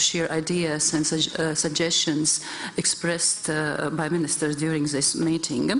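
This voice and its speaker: Speaking in a Latvian accent, a woman uses a very deep, low pitch and a monotone, flat intonation. Noticeable background noise and audible room echo are present. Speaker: government minister. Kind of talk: conference panel remarks. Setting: conference hall with audience. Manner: halting, frequent repetitions.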